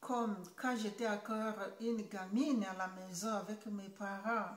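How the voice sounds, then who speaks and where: Amid audible room echo, a woman speaks very slowly at a fairly high pitch in a somewhat breathy, monotone, flat voice. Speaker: YouTuber. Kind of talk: vlog monologue. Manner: halting, many hesitations.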